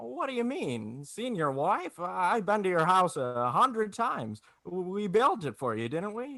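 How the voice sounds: A man puts on a character voice, high in pitch and fairly bright, taking a fairly slow pace with big pitch swings and vocal fry.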